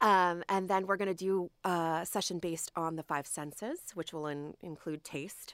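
In an American accent, a woman with an ordinary speaking voice and a fairly low pitch talks at a moderate pace with hardly any pauses and fairly even intonation, in a dry, close sound with no echo. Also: very clean recording, silent background. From New Jersey, Trenton. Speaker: museum education curator. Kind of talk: radio interview. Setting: studio.

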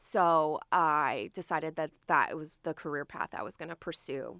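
A woman with an American accent speaks at a very deep, low pitch with vocal fry and a bright, sharp tone. Her pitch variation is ordinary and she has hardly any pauses, in a dry, close, very clean recording with no echo and a silent background. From New Jersey, Trenton. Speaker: museum education curator. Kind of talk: radio interview. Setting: studio.

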